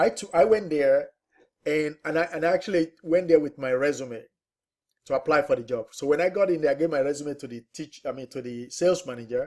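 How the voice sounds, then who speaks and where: A man with a non-native accent speaks at a fairly quick pace and fairly high pitch. His pitch varies in an ordinary way while his loudness swings widely. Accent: foreign. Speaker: real estate investor and trainer. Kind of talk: webinar presentation. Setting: online webinar. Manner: conversational, with frequent fillers.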